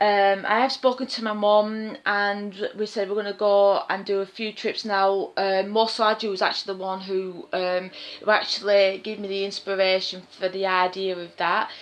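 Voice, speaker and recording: With a Lancashire accent, a woman of medium pitch talks at a moderate pace in a flat monotone. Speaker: vlogger. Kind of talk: casual vlog. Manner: quiet; hesitant, many fillers.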